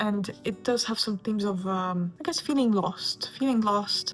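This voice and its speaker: Someone with a non-native accent speaks at a moderate pace with ordinary pitch variation over noticeable background noise. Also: woman. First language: not English. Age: 20s. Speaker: booktuber. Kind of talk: casual chat. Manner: animated.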